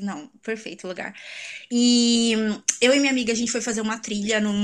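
A woman talks very fast in a fairly high, somewhat breathy voice. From Brazil, São Paulo city. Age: 20s. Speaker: exchange traveler, tourism graduate. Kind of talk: casual interview chat.

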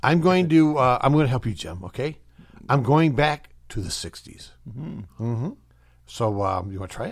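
In a very clean recording with a silent background, a man with an American accent speaks at a moderate pace in a somewhat breathy, medium-pitched voice, with very wide pitch swings and big swings in loudness. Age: 60s. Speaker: radio host. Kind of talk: casual chat. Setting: studio.

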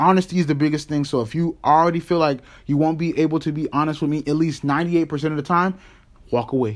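A man with a plain, everyday voice, fairly high in pitch and fairly quick, with fairly even intonation in a very clean recording with a silent background. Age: 20s. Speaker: podcast co-host. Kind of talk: casual chat.

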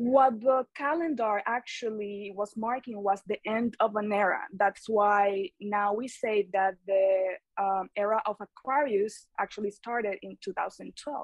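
A woman with a Spanish accent talks at a fairly slow pace, medium in pitch with fairly even intonation. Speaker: eco clothing brand founder. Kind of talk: casual interview chat.

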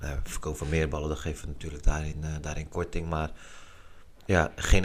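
A man is speaking. His intonation is fairly even and his pace moderate. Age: 30s. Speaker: street football organiser. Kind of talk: casual interview.

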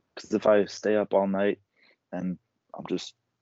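The speaker has an American accent. The intonation is monotone and flat. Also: man. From southeast Virginia. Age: 20s. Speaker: record producer and recording artist. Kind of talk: casual interview.

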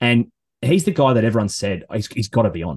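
A man with an Australian accent talks at a fairly quick pace with lively intonation. The background is quiet. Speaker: golf podcast host. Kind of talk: casual chat. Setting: home studio in a shed.

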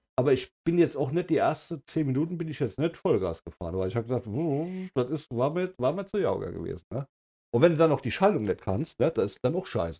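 A man with vocal fry and a dark, mellow tone talks at a fairly quick pace with lively intonation, the sound dry and close with no echo. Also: fairly high pitch for a man. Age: 50s. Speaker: podcast co-host. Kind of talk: casual chat.

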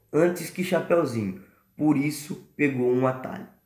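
Here is a man with an ordinary speaking voice. He talks at a fairly slow pace with lively intonation. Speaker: storyteller podcast host. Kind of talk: bedtime story narration for children, playing the wolf. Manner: warm, gentle, unhurried storyteller tone with play-acted character voices.

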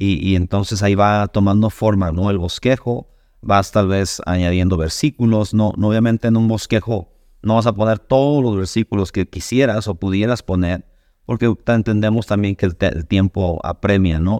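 Recorded dry and close with no echo, a man speaks at a fairly low pitch in a dark, mellow tone with fairly even intonation. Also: moderate pace, very even loudness, quiet background. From Mexico, Sonora. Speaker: pastor. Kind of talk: casual chat. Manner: halting, many fillers and repetitions.

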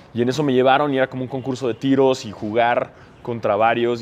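A man rattles off his words very quickly in a medium-pitched voice. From Mexico. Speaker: basketball podcaster. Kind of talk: casual chat.

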